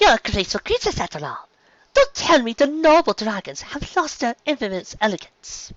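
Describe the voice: In a dry, close sound with no echo, a man does a put-on character voice at extremely high pitch, with very wide pitch swings and a moderate pace.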